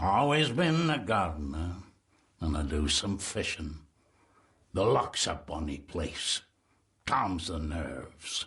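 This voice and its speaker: A man's put-on character voice, very deep and low in pitch, at a fairly slow pace with long, frequent pauses. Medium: video game. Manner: terse, ominous.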